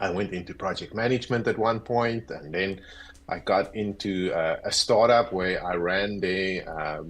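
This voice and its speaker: A man with a South African accent, a fairly low pitch and a fairly slow pace. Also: ordinary pitch variation. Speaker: agile coach. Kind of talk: interview.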